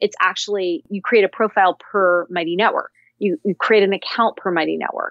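Speaking in a Californian accent, a woman uses a medium pitch. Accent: General American, Californian. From US West Coast, Cupertino, California. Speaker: tech company founder and CEO. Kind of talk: interview.

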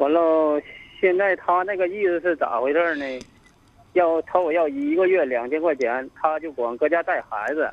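Ordinary pitch variation from a man with a fairly high pitch at a moderate pace. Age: 30s. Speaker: radio call-in caller. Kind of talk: phone-in advice call. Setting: phone call. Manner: halting.

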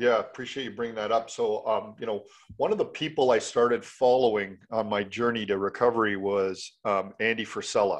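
Over a quiet background, a man with a normal speaking voice and a Canadian accent talks fairly quickly at medium pitch with fairly even intonation and hardly any pauses. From Canada, Mississauga, Ontario. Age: 50s. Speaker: former hockey player, mindset coach. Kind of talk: interview.

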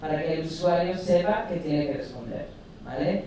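Amid noticeable background noise and audible room echo, a woman speaks. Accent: English. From English-speaking country. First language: English (speaking Spanish). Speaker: UX and voice interface designer. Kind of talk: conference talk. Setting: stage with audience.

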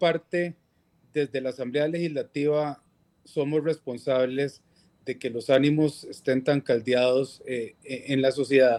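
A man with a fairly high pitch speaks very slowly. His pitch varies in an ordinary way. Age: 40s. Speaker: legislator. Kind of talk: interview. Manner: halting.

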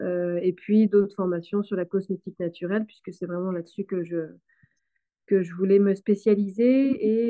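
Her voice sits at a medium pitch, moving at a moderate pace. The delivery stays flat and monotone throughout. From western Brittany, France. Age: 30s. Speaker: farmer and soap maker. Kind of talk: interview.

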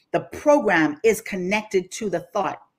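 In a Bahamian accent, a woman speaks at a moderate pace with medium pitch, an animated tone and lively intonation. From Bahamas, Grand Bahama. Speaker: life coach. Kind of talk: casual chat. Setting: remote, on vacation.

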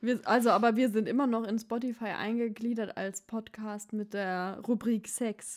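A woman's fairly high voice at a fairly slow pace. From Baden-Württemberg, Germany. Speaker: podcast host. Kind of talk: casual chat. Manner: animated.

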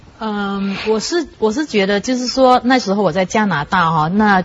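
A woman speaks at a medium pitch. Noticeable background noise is present. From Malaysia. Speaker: writer and newspaper journalist. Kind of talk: talk show discussion.

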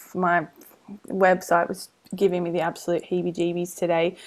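A woman speaks at a fairly quick pace and a medium pitch, in a very clean recording with a silent background. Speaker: podcast host, business coach. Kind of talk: casual chat. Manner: fast; animated.

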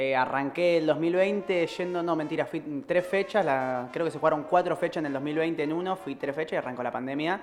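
A man's fairly high voice, an unremarkable speaking voice, at a moderate pace with hardly any pauses. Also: ordinary pitch variation. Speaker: community radio co-host. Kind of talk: casual chat. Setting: studio.

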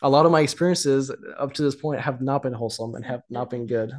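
This man's intonation is fairly even. He speaks very fast. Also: quiet background. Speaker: date partner, guest. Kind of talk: casual chat.

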